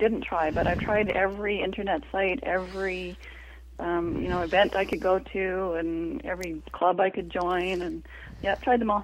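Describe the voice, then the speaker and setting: A woman's normal speaking voice at medium pitch and a moderate pace. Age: 50s. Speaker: author and energy healer. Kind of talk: casual interview chat.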